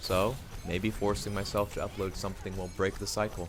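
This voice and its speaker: Soft-spoken, with a very deep, low pitch, a man talks at a moderate pace while music plays in the background. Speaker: youtuber. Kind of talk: monologue. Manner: halting.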